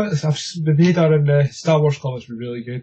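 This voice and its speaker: Dark and mellow in tone, a man's somewhat breathy voice moves with ordinary pitch variation. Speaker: podcast co-host. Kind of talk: casual chat.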